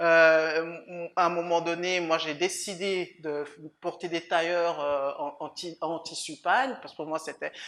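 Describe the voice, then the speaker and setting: A woman at a fairly low pitch and very slow pace, with fairly even intonation and big swings in loudness. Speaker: lawyer. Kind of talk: interview. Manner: halting, many repetitions.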